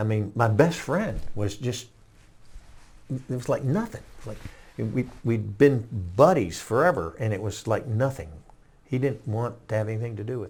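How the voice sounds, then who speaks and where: Somewhat breathy and medium in pitch, a man talks at a moderate pace with ordinary pitch variation, big swings in loudness, and long, frequent pauses. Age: 70s. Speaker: war veteran. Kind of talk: interview testimony. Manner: halting.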